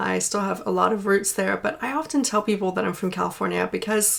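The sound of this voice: At a fairly quick pace, a woman speaks at a medium pitch with vocal fry and fairly even intonation.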